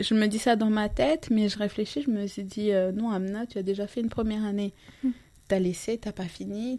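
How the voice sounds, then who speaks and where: This woman's voice has a dark, mellow tone, a medium pitch and fairly even intonation. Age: 30s. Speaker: life coach. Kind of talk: casual interview.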